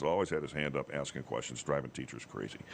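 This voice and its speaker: A man is heard against noticeable background noise. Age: 60s. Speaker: TV meteorologist. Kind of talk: casual chat. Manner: animated storytelling.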